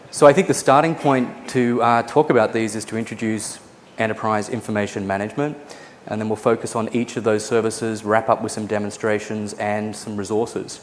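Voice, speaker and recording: With an American accent, a man talks at a fairly quick pace in a medium pitch with fairly even intonation, over noticeable background noise. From Australia. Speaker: conference speaker, database expert. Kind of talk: conference lecture. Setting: conference session with live audience.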